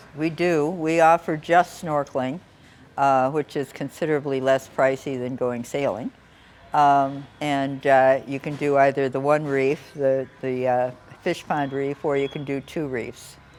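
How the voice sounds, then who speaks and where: A woman speaks in a very deep, low voice. Her pace is fairly slow and her intonation is monotone and flat. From United States. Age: 70s. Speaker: sailing tour company owner, boat captain. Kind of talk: interview answer.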